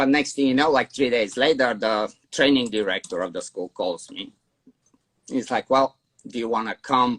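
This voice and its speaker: A man with a Bulgarian accent at medium pitch and moderate pace, ordinary pitch variation, and a dry, close sound with no echo. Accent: foreign accent, Bulgarian. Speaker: dog trainer. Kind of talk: interview storytelling. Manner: casual, with many fillers and repeats.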